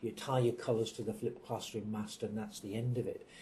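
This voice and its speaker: The man's voice sits at a medium pitch with a dark, mellow tone. It sounds somewhat breathy. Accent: English. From England. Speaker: university executive. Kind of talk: interview answers. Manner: hesitant, many fillers and repeats.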